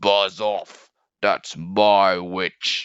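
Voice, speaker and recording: Putting on a croaky, growling character voice, a man speaks at a fairly low pitch. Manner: aggressive, shouting.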